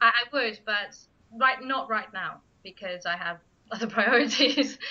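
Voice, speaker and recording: Her tone bright and sharp, a woman speaks slowly-ish in a fairly high pitch with ordinary pitch variation. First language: Spanish. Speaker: writer and blogger. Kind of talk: interview. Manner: halting.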